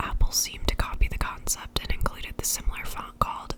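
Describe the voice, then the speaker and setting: A whisper against noticeable background noise. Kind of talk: ASMR whispered book reading. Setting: close-up binaural microphone, studio. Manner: whispered, soft-spoken.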